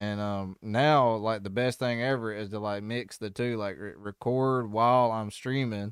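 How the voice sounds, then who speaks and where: Speaking at a moderate pace with a Southern US accent, a man barely pauses and keeps a fairly even intonation on a very clean recording with a silent background. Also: medium pitch for a man. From US South. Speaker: music reaction YouTuber. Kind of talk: casual chat. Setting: live stream. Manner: halting, many fillers.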